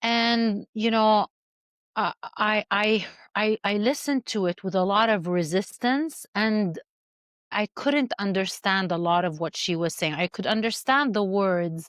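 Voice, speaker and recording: In an Arabic accent, the speaker talks at a very slow pace with ordinary pitch variation, the sound dry and close with no echo and the recording very clean over a silent background. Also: woman. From Syria. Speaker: movement artist and coach. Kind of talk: podcast interview.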